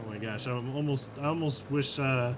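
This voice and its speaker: A man speaks with an American accent at a moderate pace. There is audible room echo and noticeable background noise. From United States. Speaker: esports caster. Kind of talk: live commentary. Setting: live stream. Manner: animated.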